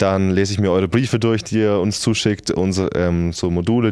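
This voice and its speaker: Very deep and low, a man's voice carries a dark, mellow tone and fairly even intonation. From Germany, near Schweinfurt (Lower Franconia). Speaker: community and support manager at a startup. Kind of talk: casual chat.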